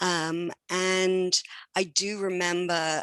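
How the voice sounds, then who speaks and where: A speaker with an English accent is heard in a dry, close sound with no echo. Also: woman. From England. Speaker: education professor. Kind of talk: academic presentation.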